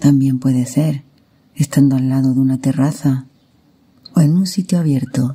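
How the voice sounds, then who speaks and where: A woman with a very deep, low pitch speaks in a dark, mellow, calm, soothing tone that is somewhat breathy. Her loudness stays very even, broken by long, frequent pauses. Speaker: meditation guide. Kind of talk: guided meditation. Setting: recorded with real nature sounds in the background. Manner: calm, soothing, slow.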